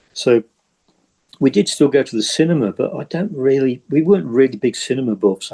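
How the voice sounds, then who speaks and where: Dry and close with no echo, a man's medium-pitched voice with a dark, mellow tone moves at a fairly quick pace. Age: 60s. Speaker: game designer. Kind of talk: casual chat. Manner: halting.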